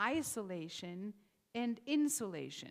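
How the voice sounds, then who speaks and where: Her fairly high voice swinging very widely in pitch, a woman speaks on a very clean recording with a silent background. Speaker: rabbi. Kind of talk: sermon. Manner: conversational, some hesitations.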